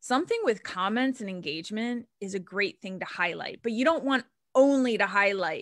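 With lively intonation and a fairly high pitch, a woman speaks at a moderate pace in a normal speaking voice, captured in a very clean recording with a silent background. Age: 40s. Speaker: social media strategist. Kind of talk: casual chat.

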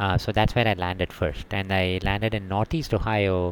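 A man with an Indian accent, fairly low in pitch, at a moderate pace. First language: Tamil. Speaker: city energy manager. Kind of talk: casual interview.

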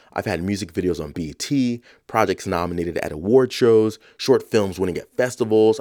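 A man with a New York accent talks at a fairly quick pace, with a fairly low pitch, ordinary pitch variation and a dark, mellow tone. The recording is very clean with a silent background. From New York, South Bronx. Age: 30s. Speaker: podcast host. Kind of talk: reflective monologue.

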